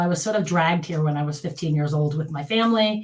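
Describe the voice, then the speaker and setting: A woman talks with ordinary pitch variation as audible room echo surrounds her. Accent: American. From United States. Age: 50s. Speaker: physical therapist. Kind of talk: casual interview.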